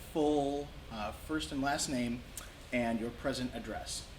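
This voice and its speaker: There is noticeable background noise behind this man speaking. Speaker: museum collections manager. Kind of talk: interviewer questions.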